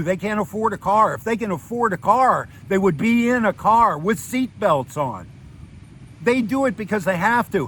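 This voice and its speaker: The delivery has an animated tone, ordinary pitch variation and a moderate pace. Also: man. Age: 60s. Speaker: retired expat vlogger. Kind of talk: casual monologue vlog.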